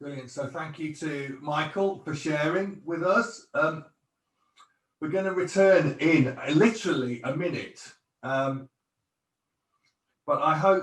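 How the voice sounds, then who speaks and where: A man at a fairly high pitch, with audible room echo. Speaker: pastor. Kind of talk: church talk; interview.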